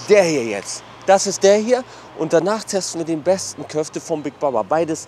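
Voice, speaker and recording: With lively intonation and a high pitch, a man talks at a moderate pace, the sound dry with no echo and light background noise behind him. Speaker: food vlogger. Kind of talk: casual vlog chat. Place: street. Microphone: lapel.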